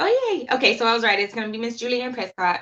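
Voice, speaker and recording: Her voice is bright and sharp in tone, a woman speaking at a fairly high pitch. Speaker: horror web show host. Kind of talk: casual livestream chat. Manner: fast.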